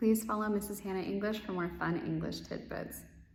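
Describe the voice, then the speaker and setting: A woman at a very fast pace with an American accent, audible room echo and noticeable background noise. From US, Northern Virginia. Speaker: English teacher. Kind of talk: casual Q&A video. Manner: upbeat, animated.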